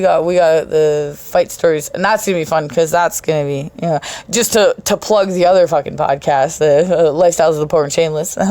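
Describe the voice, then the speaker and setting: The woman's voice is fairly low in pitch. She talks at a fairly quick pace with ordinary pitch variation. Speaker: podcast host. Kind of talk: casual monologue.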